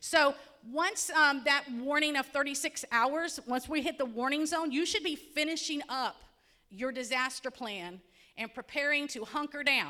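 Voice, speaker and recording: In a raised, projected voice with a Central Florida accent, a woman speaks at a high pitch with a bright, sharp tone and ordinary pitch variation. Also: moderate pace. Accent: Polk County, Florida. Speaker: county emergency management presenter. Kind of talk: community presentation. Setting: hall with audience. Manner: conversational, engaging audience.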